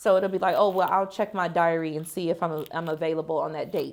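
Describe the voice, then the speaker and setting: Heard on a very clean recording with a silent background, a woman with an American accent has an unremarkable speaking voice and fairly even intonation. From United States. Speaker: author and marketing vlogger. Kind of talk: casual vlog talk to camera. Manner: relaxed, many fillers (um, like).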